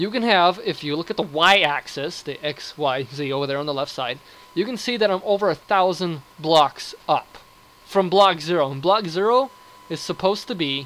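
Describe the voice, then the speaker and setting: Over noticeable background noise, a man with a high-pitched voice talks with lively intonation. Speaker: gaming video creator. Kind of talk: gameplay commentary. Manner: fast; animated.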